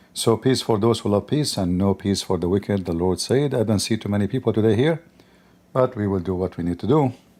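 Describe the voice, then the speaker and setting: A man with an Arabic accent, fairly low pitch, dark, mellow tone, ordinary pitch variation and moderate pace. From Middle East. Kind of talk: live stream opening talk.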